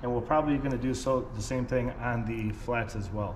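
A man speaks with fairly even intonation. Light background noise sits behind him. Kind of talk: tutorial. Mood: relaxed, frank. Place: workshop. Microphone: camera far.

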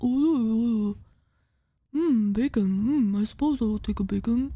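At a fairly slow pace, the speaker performs in a put-on character voice. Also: woman, fairly high pitch for a woman. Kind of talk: mock-dignified. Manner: wise, unhurried.

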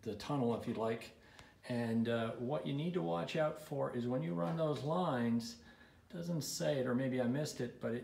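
A man at a moderate pace, with audible room echo. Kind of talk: casual build-log walkthrough. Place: workshop. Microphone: phone near.

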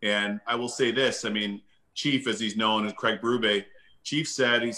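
A man's moderately paced speech comes through over a quiet background. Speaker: guest. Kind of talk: interview answer. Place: home room. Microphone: video call.

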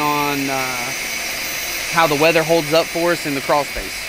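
A man at a moderate pace, with loud background noise. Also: dry sound with no echo. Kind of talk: job site walkthrough. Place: garden.

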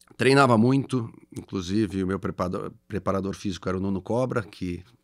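Speech with ordinary pitch variation plays against a quiet background. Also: man. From Rio Grande do Sul, Brazil (Farroupilha, Serra Gaúcha); Rio Grande do Sul, Brazil. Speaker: company CEO; guest. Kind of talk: interview. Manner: halting. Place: studio. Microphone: studio mic.

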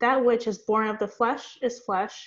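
A woman at a fairly slow pace, monotone and flat, with a quiet background. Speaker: Bible study participant. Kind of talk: reading aloud. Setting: video call. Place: home room. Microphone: video call.

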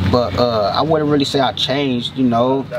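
Fairly even intonation from a male speaker, noticeable background noise behind him. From Venice, Los Angeles, California; California. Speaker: rapper; interviewee. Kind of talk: casual interview. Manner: halting, repeats words often. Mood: calm, reflective, encouraging. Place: open country.

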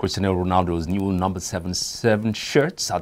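Speaking at a fairly slow pace, a man delivers his words at a very deep, low pitch. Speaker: news anchor. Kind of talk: newsreading, scripted studio bulletin. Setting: studio. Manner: formal, measured, steady newsreader delivery.

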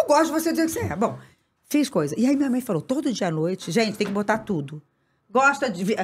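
Delivered at a very fast pace in an animated tone, the voice has vocal fry and very wide pitch swings over light background noise. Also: woman, fairly high pitch for a woman. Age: 50s. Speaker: actress. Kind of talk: casual chat. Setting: studio. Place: studio. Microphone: studio mic.

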